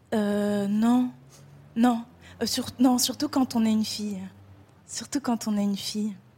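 At a very slow pace with long, frequent pauses, the voice sounds somewhat breathy, with a dark, mellow tone and fairly even intonation. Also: woman. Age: 20s. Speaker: actress and writer. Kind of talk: televised interview. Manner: hesitant, repeating words.

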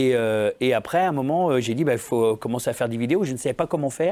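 Ordinary pitch variation and a very fast pace from a man. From France, Saint-Étienne area (Lyon family). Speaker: comedian. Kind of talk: casual chat.

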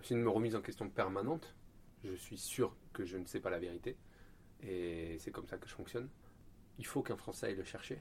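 The voice is somewhat breathy, with ordinary pitch variation. It moves at a fairly quick pace but has long, frequent pauses. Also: man, fairly low pitch for a man. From Marseille, southern France. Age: 30s. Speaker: Olympic canoeist. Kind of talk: interview. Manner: hesitant, many repetitions.

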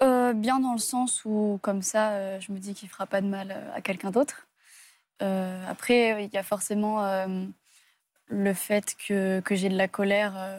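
On a very clean recording with a silent background, a woman speaks at a fairly slow pace and medium pitch, her intonation fairly even, with long, frequent pauses. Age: 20s. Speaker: abuse survivor. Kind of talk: testimony. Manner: halting.

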